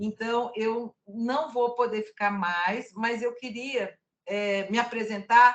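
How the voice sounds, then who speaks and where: Very slowly, a woman speaks in a fairly high pitch with fairly even intonation. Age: 60s. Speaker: casting producer and cultural producer. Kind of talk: casual discussion in an online workshop.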